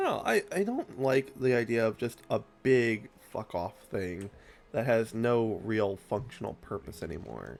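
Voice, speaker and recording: Over music in the background, a man speaks at medium pitch and a moderate pace with ordinary pitch variation. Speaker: gaming streamer. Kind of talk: casual let's play commentary. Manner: casual with frequent fillers.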